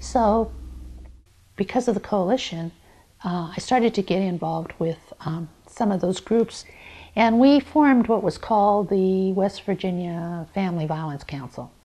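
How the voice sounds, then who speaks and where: A woman's normal speaking voice with an American accent, at a medium pitch and a moderate pace, over a quiet background. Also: lively intonation. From Montana. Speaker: domestic violence advocate. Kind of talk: interview testimony. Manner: conversational, with fillers.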